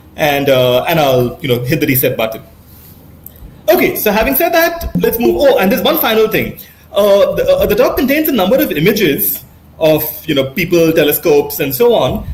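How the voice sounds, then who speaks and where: Over noticeable background noise and audible room echo, a man talks at a fairly quick pace with very even loudness. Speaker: astronomy professor. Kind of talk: lecture. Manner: fast; hesitant, many fillers.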